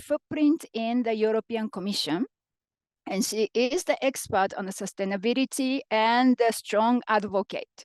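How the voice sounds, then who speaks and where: A woman with a Japanese accent speaks at a moderate pace with lively intonation and a high pitch, the sound dry and close with no echo over a quiet background. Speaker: panel moderator. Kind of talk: moderating a panel discussion.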